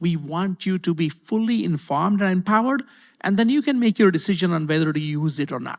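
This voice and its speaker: A man with a non-native accent talks at a fairly quick pace and a high pitch. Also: very clean recording, silent background. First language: not English. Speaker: university IT executive. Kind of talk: panel discussion. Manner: hesitant, many fillers and repeats.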